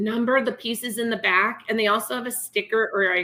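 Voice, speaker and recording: This woman talks at a moderate pace in a medium pitch. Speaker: kindergarten teacher. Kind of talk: presentation. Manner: animated.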